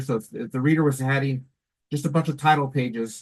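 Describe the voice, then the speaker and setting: Here a man talks at a fairly high pitch, somewhat breathy. His intonation stays fairly even. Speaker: education program presenter. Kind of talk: conference presentation. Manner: fast; casual, halting with fillers.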